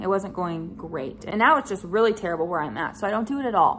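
There is light background noise as a woman talks at a very fast pace. Her intonation is lively. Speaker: vlogger. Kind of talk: casual vlog chat. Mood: frank, slightly frustrated. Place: home room. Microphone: phone near.

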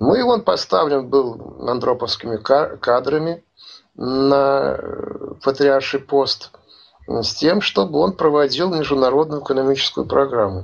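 A man with a fairly high pitch speaks at a fairly slow pace, with ordinary pitch variation and very even loudness. The background is quiet. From Russia. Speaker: commentator; interviewee commentator. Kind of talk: interview. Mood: serious, conspiratorial.

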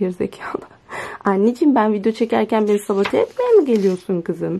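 A woman speaks at a fairly quick pace in an animated tone. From Turkey. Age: young. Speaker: student vlogger. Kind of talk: casual vlog.

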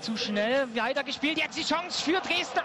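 Noticeable background noise surrounds a man speaking at an extremely high pitch. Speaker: ice hockey commentator. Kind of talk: sports commentary.

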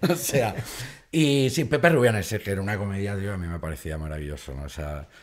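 Over a quiet background, a man with a fairly low pitch speaks at a fairly quick pace, his pitch swinging very widely and his loudness swinging a lot. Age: 40s. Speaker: comedian. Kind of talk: casual chat. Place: studio. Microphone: studio mic.

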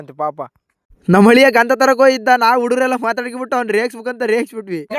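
This man speaks at an extremely high pitch. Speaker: village vlogger. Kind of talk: vlog narration. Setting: outdoors at temple festival.

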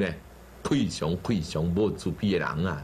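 A man talks at a moderate pace. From Taiwan. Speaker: Buddhist teacher. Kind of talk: sermon. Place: studio. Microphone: lapel.

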